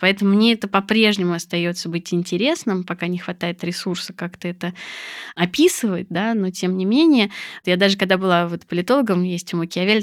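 This woman has a plain, everyday voice. Her pitch sits in the middle range. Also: very clean recording, silent background. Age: 40s. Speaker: psychologist. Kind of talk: casual chat.

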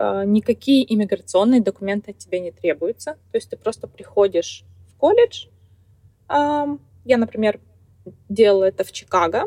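Speaking at a moderate pace, a woman with a fairly high pitch leaves long, frequent pauses, and her loudness swings widely. Her pitch variation is ordinary, and the sound is dry and close with no echo. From Kazakhstan, small town. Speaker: truck driver and blogger. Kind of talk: interview.

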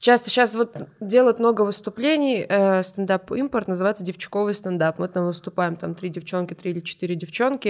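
In an ordinary speaking voice, a woman talks at a fairly quick pace with medium pitch and ordinary pitch variation. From North Ossetia. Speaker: stand-up comedian. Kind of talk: casual chat.

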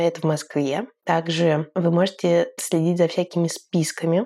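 Fairly even intonation carries a dark, mellow tone. The background is silent on this very clean recording. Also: woman. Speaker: podcast host. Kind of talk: podcast intro and outro monologue.

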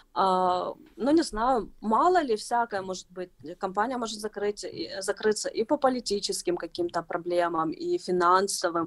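At a medium pitch and moderate pace, a woman speaks with very wide pitch swings, the sound dry and close with no echo. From Ukraine, Kyiv. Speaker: footwear designer. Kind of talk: interview. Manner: halting.

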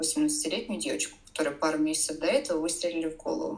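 A woman with a fairly low pitch, very wide pitch swings and a very fast pace. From Russia, Saint Petersburg. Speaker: domestic violence survivor and blogger. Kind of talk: interview testimony.

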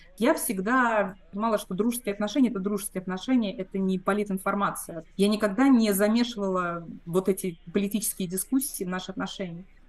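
A woman's plain, everyday voice, medium in pitch with ordinary pitch variation, at a fairly quick pace with hardly any pauses. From Moscow, Russia. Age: 40s. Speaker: emigrant interviewee. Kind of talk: interview testimony.

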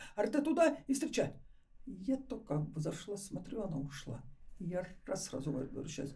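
A woman with a medium-pitched, somewhat breathy voice and a dark, mellow tone speaks at a moderate pace, with audible echo from the room. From Ukraine. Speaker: retired fashion entrepreneur. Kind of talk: casual interview. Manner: animated.

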